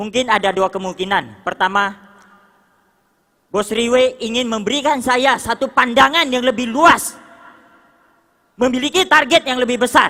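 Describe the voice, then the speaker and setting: An animated tone comes at a moderate pace, broken by long, frequent pauses. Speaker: motivational speaker at business leadership seminar. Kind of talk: motivational stage speech. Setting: stage with audience. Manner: loud.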